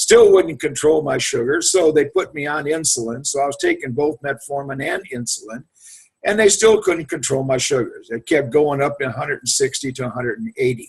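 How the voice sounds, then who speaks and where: A man's somewhat breathy voice, fairly high in pitch, with lively intonation and a fairly quick pace. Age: 70s. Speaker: Marine Corps veteran giving a product testimonial. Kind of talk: testimony. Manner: casual, halting.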